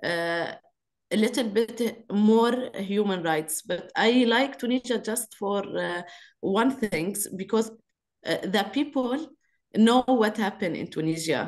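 A woman with an Arabic accent speaks at a fairly slow pace with long, frequent pauses, her fairly high pitch showing ordinary variation against a quiet background. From Lebanon. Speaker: activist and actress; panelist. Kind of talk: webinar talk. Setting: video call. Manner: halting. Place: home room. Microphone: video call.

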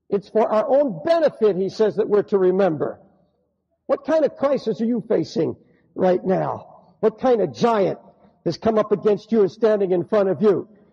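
A man's high-pitched voice with a dark, mellow tone, lively intonation, a moderate pace and very even loudness. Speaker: preacher / pastor. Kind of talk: sermon preached to a congregation.

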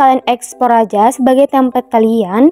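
A woman with a Minangkabau accent, high-pitched with a dark, mellow tone, at a fairly quick pace, dry and close with no echo. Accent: Minang. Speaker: voice-over narrator. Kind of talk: app tutorial voice-over. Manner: casual, friendly.

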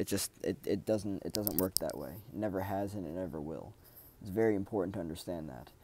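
A man with a very deep, low pitch and a dark, mellow tone speaks at a fairly quick pace with vocal fry. The sound is dry with no echo, and background noise is noticeable. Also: ordinary pitch variation. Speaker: self-development video creator. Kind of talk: solo monologue talk. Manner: halting, many fillers. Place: home room. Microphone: earbuds.

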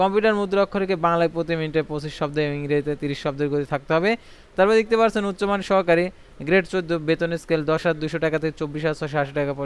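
The man's voice is high in pitch. His pitch variation is ordinary. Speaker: job news YouTuber. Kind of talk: reading aloud; tutorial.

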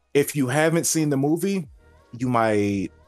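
Faint background music accompanies a man who talks at a moderate pace. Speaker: channel host. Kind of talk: casual spoiler discussion. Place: home room. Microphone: webcam.

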